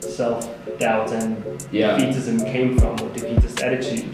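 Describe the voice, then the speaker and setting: Over clear music in the background and with strong room echo, a man talks at a fairly slow pace. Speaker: interview guest. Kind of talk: interview answer. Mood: relaxed, thoughtful. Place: office.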